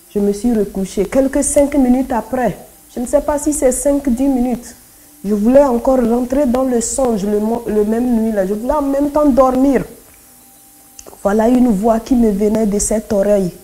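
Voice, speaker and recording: Over noticeable background noise, a woman with a Togolese accent talks at a moderate pace in a high pitch with ordinary pitch variation. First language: Kotokoli (speaking French). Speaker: convert giving testimony. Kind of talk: testimony.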